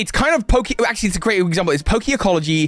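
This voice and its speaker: Noticeable background noise accompanies this recording. A man speaks in a British accent with lively intonation. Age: 30s. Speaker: gaming streamer. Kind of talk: casual live stream chat. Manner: halting.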